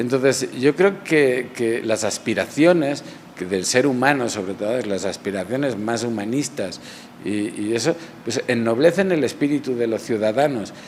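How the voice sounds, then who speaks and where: A man with a Barcelona accent, fairly slow and with lively intonation, over noticeable background noise. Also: medium pitch for a man. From Barcelona, Spain. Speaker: realist painter. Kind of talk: interview answer. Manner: reflective, hesitant.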